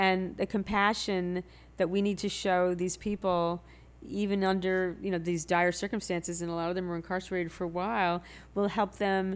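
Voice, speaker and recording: Over a silent background on a very clean recording, a woman of medium pitch speaks at a moderate pace in a monotone, flat intonation. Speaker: storyteller and writer. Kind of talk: casual interview chat.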